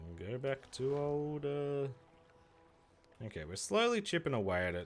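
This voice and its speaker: Speaking with an Australian accent, a man with a fairly high voice talks at a moderate pace with very wide pitch swings. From Australia, Victoria. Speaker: gaming streamer. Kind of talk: casual live-stream chat while gaming. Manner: casual, halting with filler words.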